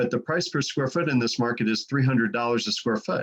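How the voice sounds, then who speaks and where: This is a man talking at a medium pitch. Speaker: real estate appraiser and trainer. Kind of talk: training presentation. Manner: fast; hesitant with fillers.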